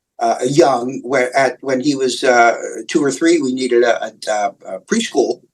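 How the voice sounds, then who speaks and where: A man with a New York accent talks at a fairly slow pace. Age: 60s. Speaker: comic book writer. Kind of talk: interview. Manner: halting, many fillers and repeats.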